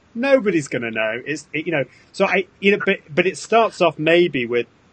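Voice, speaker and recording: A man with a British accent, high-pitched, at a moderate pace. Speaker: social media consultant. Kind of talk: casual chat.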